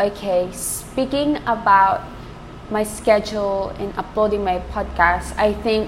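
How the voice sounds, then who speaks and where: A woman's medium-pitched voice, fairly slow and fairly even in intonation, with noticeable background noise. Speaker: podcast host. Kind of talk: casual monologue.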